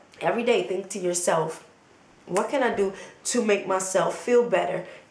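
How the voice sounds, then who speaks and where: With an animated tone, a woman at a medium pitch talks at a moderate pace with ordinary pitch variation, and room echo is audible. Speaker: motivational vlogger. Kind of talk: motivational talk to camera.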